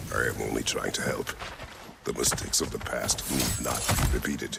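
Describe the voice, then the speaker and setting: Loud background noise surrounds a man doing a put-on character voice at a moderate pace. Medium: short film. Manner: terse, measured.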